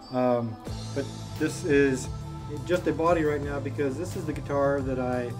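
A man at a moderate pace with fairly even intonation over clear music in the background. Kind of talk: casual vlog chat. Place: garage. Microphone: camera far.

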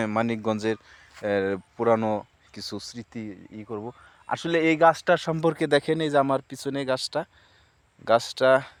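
With a plain, everyday voice, a man speaks at a medium pitch with ordinary pitch variation and big swings in loudness. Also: dry, close sound with no echo. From Bangladesh, Manikganj. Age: 30s. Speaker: farmer and vlogger. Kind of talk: casual vlog narration. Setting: outdoors.

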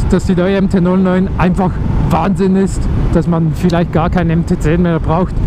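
The speech comes at a fairly slow pace, the sound dry with no echo and with noticeable background noise. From Switzerland. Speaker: motovlogger. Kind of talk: casual motorcycle vlog commentary. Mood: enthusiastic. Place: motorbike. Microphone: helmet.

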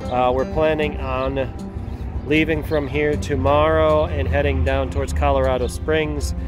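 Over clear background music, a man with a very deep, low pitch speaks at a fairly slow pace with ordinary pitch variation, in a dry sound with no echo. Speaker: travel vlogger. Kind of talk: casual vlog chat. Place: street. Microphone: phone near.

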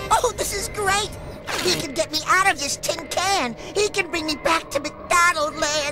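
A cartoonish character voice moves at a moderate pace with clear music in the background. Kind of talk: cartoon voice acting. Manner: sly, evasive, then panicky.

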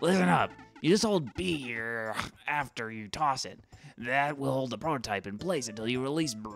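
Over faint background music, a man uses a put-on character voice at medium pitch, moving at a moderate pace with long, frequent pauses. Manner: imperious, hot-tempered.

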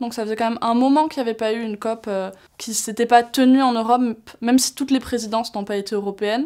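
The delivery is very fast and monotone, with flat intonation over a quiet background. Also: woman, fairly high pitch for a woman. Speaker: youth climate delegate. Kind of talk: interview. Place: studio. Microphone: lapel.

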